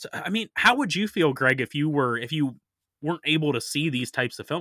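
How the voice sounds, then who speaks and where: Bright and sharp, a man's fairly high voice moves with lively intonation on a very clean, silent-background recording that sounds dry and close with no echo. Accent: northern US. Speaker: horror podcast host. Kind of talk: casual chat.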